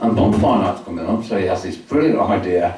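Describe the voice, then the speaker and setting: Noticeable background noise sits behind the voice. It speaks at a moderate pace with ordinary pitch variation. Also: man. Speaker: solicitor and storyteller. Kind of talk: spoken word storytelling to a live audience. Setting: live venue with audience.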